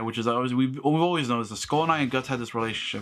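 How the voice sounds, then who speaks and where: This man speaks at a fairly high pitch with lively intonation. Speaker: anime reaction youtuber and streamer. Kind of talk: live reaction commentary. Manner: stuttering, halting; animated.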